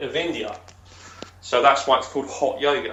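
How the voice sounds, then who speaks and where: There's audible room echo around this man. His pitch is fairly high. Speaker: stroke survivor coach. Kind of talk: casual interview chat.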